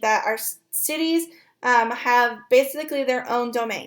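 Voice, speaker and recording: The recording is very clean, with a silent background. A woman speaks at a high pitch with ordinary pitch variation. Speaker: college instructor. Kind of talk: lecture. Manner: fast.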